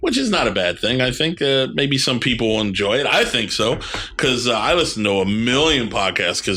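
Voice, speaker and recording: Noticeable background noise and audible room echo surround a man with an American accent. His loudness stays very even, and his pitch varies in an ordinary way. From New York. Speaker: podcast host. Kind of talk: casual chat.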